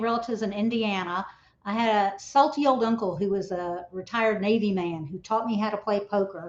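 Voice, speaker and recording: A woman with a Texan accent speaks at a moderate pace and a fairly high pitch. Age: old. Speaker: reality TV contestant. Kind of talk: casual chat.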